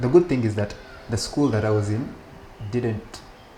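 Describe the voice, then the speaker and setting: Talking fairly quickly with ordinary pitch variation, a medium-pitched man is heard against noticeable background noise. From Uganda, childhood partly in Belgium. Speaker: rabbi. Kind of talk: interview conversation. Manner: hesitant, many restarts.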